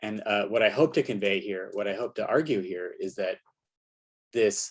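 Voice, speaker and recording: Fairly quick speech from a man, quiet background. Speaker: solar physicist. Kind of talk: conference talk. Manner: fast.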